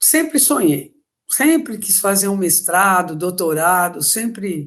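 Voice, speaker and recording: Her pitch swinging very widely from a medium base, a woman speaks at a fairly slow pace. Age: 60s. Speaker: school coordinator and master's student. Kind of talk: interview testimony.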